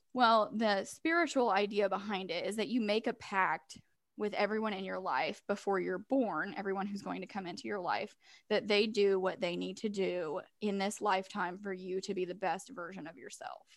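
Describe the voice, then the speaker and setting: In a very clean recording with a silent background, a woman with an American accent speaks at a moderate pace. She has an ordinary speaking voice at medium pitch with ordinary pitch variation. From Missouri. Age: 20s. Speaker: podcast co-host. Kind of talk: casual chat.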